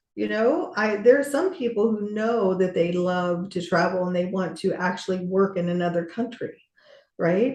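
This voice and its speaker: Somewhat breathy and dark, mellow in tone, a woman's voice sits at a medium pitch with ordinary pitch variation at a moderate pace. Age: 60s. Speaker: business coach. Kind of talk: podcast interview conversation.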